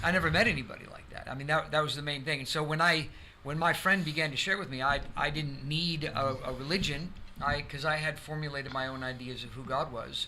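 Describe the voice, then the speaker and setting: With an American accent, a man speaks very fast at a fairly high pitch, his tone bright and sharp and his intonation fairly even, with audible room echo. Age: 60s. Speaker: pastor. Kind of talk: testimony. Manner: halting.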